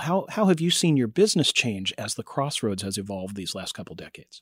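A man with a normal speaking voice talks at a medium pitch and a fairly quick pace, in a very clean, dry, close recording with a silent background and no echo. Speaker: radio host. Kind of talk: casual interview. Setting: studio.

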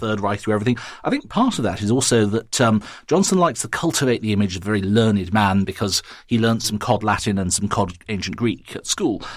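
Using a normal speaking voice, a man talks at a fairly quick pace in a fairly low pitch. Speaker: journalist and author. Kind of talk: panel discussion.

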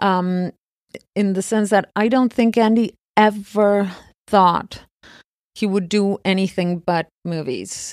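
A woman at medium pitch reads at a very slow pace, with long, frequent pauses and fairly even intonation. The recording is very clean, with a silent background and a dry, close sound with no echo. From Argentina. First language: Spanish. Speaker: film producer. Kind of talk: interview conversation.

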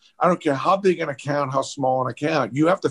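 With a normal speaking voice, a man talks at a fairly quick pace at a fairly high pitch, showing ordinary pitch variation, in a dry, close sound with no echo. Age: 60s. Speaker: sales expert and author. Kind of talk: interview.

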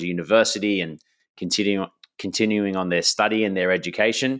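Fairly quick and fairly even in intonation, a man speaks with a very deep, low pitch. The recording is very clean, the background silent. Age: 30s. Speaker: podcast host. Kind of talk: solo podcast monologue. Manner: casual, with fillers and repetitions.

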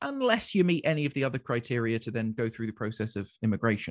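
The speech moves at a fairly quick pace with ordinary pitch variation. The sound is dry and close with no echo, over a quiet background. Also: man. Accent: London. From London, England. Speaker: community radio station manager. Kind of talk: interview conversation. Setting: video call. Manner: dry witty.

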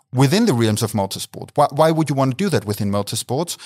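Recorded very cleanly against a silent background, a man with a German accent sounds dry and close, with no echo. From Austria, Graz. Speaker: motorsport business director, mathematician. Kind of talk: interview.

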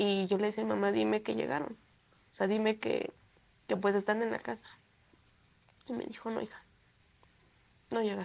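Long, frequent pauses break up a woman's otherwise moderate pace. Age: young. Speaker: bereaved mother. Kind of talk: testimony. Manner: halting.

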